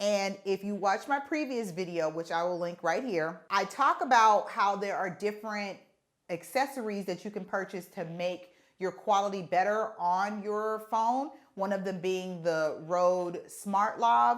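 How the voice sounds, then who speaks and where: A woman talks at a fairly slow pace in a medium pitch. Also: ordinary pitch variation. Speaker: content creator and podcaster. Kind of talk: tutorial. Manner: loud; casual, conversational.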